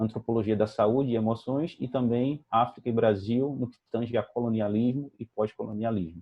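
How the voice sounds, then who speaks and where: A man with a normal speaking voice talks at a moderate pace, using medium pitch and ordinary pitch variation. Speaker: anthropologist, event moderator. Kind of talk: formal introduction of a speaker.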